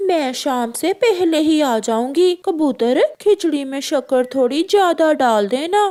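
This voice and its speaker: A female-sounding, cartoonish character voice with a high pitch moves at a fairly slow pace. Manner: forceful.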